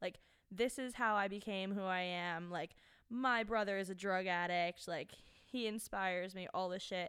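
Heard on a very clean recording with a silent background, a woman with an ordinary speaking voice talks at medium pitch and a moderate pace, her intonation fairly even. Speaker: podcast guest, host's friend. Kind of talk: casual chat. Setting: studio.

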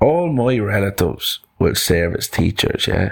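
Putting on a character voice, a man speaks at a fairly slow pace with a fairly low pitch and big pitch swings. Vocal fry and a slightly husky edge come through.

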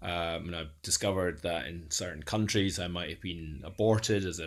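A man with an Edinburgh accent, very deep and low in pitch, at a moderate pace with hardly any pauses and ordinary pitch variation, in a very clean recording with a silent background. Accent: Scottish (Edinburgh). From Scotland, Edinburgh. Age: 40s. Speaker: data modeler and neurodiversity advocate. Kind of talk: interview, personal life story. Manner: halting, many fillers and repetitions.

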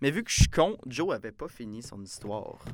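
Over a very clean recording with a silent background, a man talks at a fairly quick pace with vocal fry. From Quebec, Saint-Jean-sur-Richelieu near Montreal. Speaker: podcast host, student. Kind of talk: casual chat.

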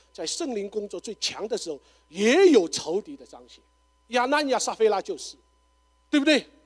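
With an extremely high pitch, a man talks with very wide pitch swings, big swings in loudness and long, frequent pauses, in a dry, close sound with no echo. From China, Shanghai. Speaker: pastor. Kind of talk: forum talk. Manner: halting, many fillers.

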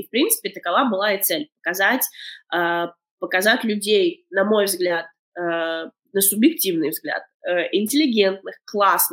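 She has a plain, everyday voice at a medium pitch with ordinary pitch variation. The woman keeps a moderate pace. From Latvia, Daugavpils. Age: 30s. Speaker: documentary filmmaker. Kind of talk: interview. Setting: remote call.

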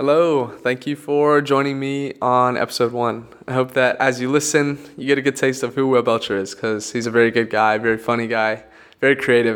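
A man with a medium pitch talks fairly quickly, his intonation staying fairly even. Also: hardly any pauses. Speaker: podcast host. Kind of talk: casual interview. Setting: outdoors.

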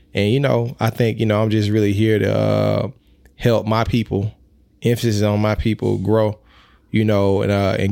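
A man with a Mississippi accent speaks at a moderate pace in a fairly low, dark, mellow voice. His intonation is monotone and flat, his loudness very even, and the recording very clean with a silent background. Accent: US Southern (Mississippi). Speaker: musician and rapper. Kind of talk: casual interview.

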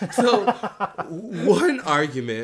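Very wide pitch swings from a man speaking with an American accent. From US Midwest. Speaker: podcast co-host. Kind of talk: casual chat.

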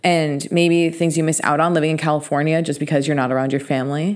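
A woman speaks in a normal speaking voice, fairly low in pitch, with fairly even intonation. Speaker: podcast host. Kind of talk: casual chat.

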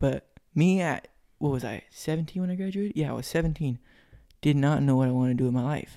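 A man with an American accent talks at a very fast pace in a fairly high pitch, his tone dark and mellow and his pitch variation ordinary. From California, Stockton. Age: young. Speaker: sheet metal worker. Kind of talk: casual chat.

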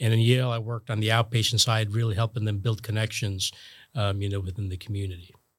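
With an American accent, a man talks at a very fast pace in a fairly low, somewhat breathy voice. His intonation is monotone and flat, and the recording is very clean with a silent background. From New Jersey. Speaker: hospital executive and physician. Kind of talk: interview.

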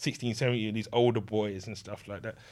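A man speaks with fairly even intonation. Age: 30s. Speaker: video game enthusiast. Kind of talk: casual interview. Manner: halting.

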